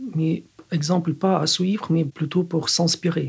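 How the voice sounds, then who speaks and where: A man with a Ukrainian accent speaks at a high pitch. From Ukraine. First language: Ukrainian (speaking French). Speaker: physicist. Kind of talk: interview. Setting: studio.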